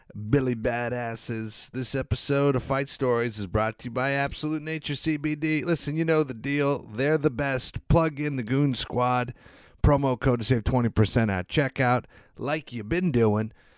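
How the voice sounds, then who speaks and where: On a very clean recording with a silent background, a man speaks fairly slowly in a normal speaking voice with medium pitch and ordinary pitch variation. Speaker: podcast co-host. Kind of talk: casual ad and intro. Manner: loose, profane.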